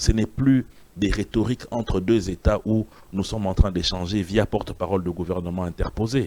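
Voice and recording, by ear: Low in pitch, a man speaks at a fairly quick pace. His tone is slightly mellow and his intonation fairly even.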